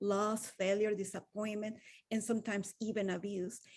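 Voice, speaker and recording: A woman's dark, mellow voice at a fairly high pitch with a Venezuelan accent and a moderate pace. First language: Spanish. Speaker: wellness coach. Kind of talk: motivational talk.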